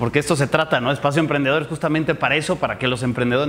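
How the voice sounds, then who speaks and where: A man's intonation stays fairly even, with light background noise present. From Mexico, Morelia (Michoacán). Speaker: entrepreneurship speaker. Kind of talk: interactive workshop talk. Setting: live audience in person. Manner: casual, conversational. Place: hall. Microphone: handheld.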